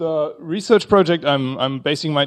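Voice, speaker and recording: A man talks in a German accent at a moderate pace. His pitch is fairly high. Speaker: researcher. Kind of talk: conference talk. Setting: conference panel with audience. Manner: halting, many fillers.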